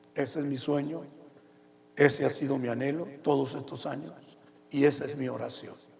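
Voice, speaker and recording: With audible room echo and noticeable background noise, a man with a fairly high pitch talks at a moderate pace in a monotone, flat intonation. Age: 70s. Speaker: pastor. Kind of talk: sermon.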